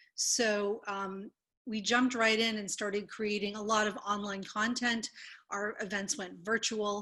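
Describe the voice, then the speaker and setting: A fairly high-pitched woman, bright and sharp in tone, flat and monotone, at a fairly slow pace against a quiet background. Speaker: museum director. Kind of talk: panel discussion. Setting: video call.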